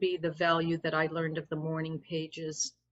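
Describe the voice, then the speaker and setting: A woman with a normal speaking voice, fairly low in pitch, at a moderate pace. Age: 60s. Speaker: interviewee. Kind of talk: casual chat.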